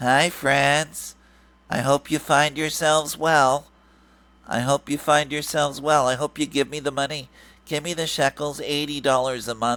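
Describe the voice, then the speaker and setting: In a put-on character voice, a man talks at a moderate pace in a nasal, fairly high pitch with monotone, flat intonation, in a very clean recording with a silent background. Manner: mocking.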